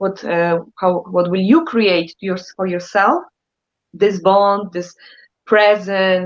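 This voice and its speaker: A woman's medium pitch with a Polish accent, fairly even intonation and a fairly slow pace. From Poland. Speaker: therapist. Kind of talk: casual chat. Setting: live stream.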